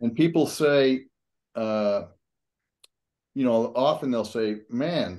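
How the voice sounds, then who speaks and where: A man at a very slow pace with ordinary pitch variation, against a quiet background. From Utah. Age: 70s. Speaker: YouTuber. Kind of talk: casual chat.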